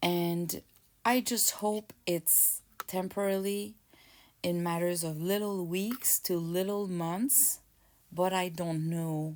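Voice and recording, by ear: A woman's slightly mellow voice at a fairly low pitch, with fairly even intonation and a slow pace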